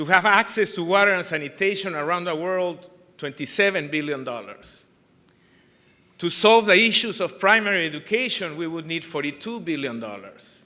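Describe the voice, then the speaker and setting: With lively intonation and a bright, sharp tone, a man talks at a moderate pace in a high pitch. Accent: Peruvian. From Peru. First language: Spanish. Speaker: anti-corruption organization chair. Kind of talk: conference keynote speech.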